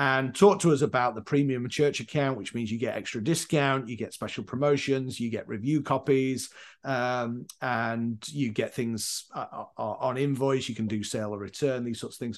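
With a Yorkshire accent, a man talks at a medium pitch with hardly any pauses against a quiet background. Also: ordinary pitch variation, moderate pace. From northern England, Leeds, Yorkshire. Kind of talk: casual interview.

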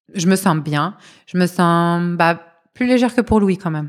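At a moderate pace, an unremarkable speaking voice comes through on a very clean recording with a silent background. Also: woman. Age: 30s. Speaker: mother sharing birth story. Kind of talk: testimony.

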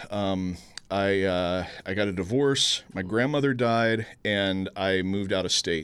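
A man with a plain, everyday voice speaks at a fairly slow pace and fairly low pitch with ordinary pitch variation, on a very clean recording with a silent background. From Houston, Texas. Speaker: film critic and sketch show producer. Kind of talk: casual chat.

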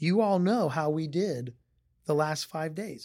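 On a very clean recording with a silent background, a man speaks at a fairly high pitch with a dark, mellow tone and ordinary pitch variation. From Northeast Ohio. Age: 40s. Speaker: hotel company executive. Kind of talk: interview.

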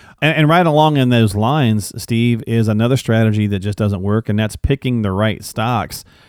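A man with a plain, everyday voice, fairly low pitch, ordinary pitch variation and a fairly quick pace. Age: 40s. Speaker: podcast host. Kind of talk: casual interview chat.

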